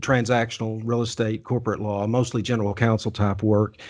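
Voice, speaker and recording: A man speaks with a Texan accent. His pace is fairly quick. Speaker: lawyer and podcast host. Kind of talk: interview. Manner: halting, many repetitions and restarts.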